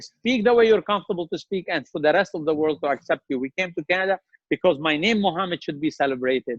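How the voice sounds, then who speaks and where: A man talks at a very fast pace with a strong Lebanese accent, his voice high-pitched and his intonation lively. His tone is passionate. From Lebanon. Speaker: restaurant chain CEO. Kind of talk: interview.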